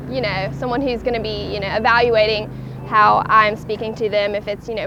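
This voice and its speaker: A woman's fairly high voice in a strong Southern accent at a fairly quick pace, with music in the background. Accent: thick Southern. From US South. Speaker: college student. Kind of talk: interview answers.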